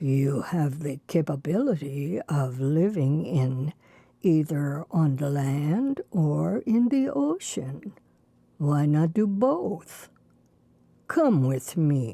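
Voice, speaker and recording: This is a put-on character voice. The pace is very slow. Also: woman, very deep, low pitch for a woman. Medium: read story.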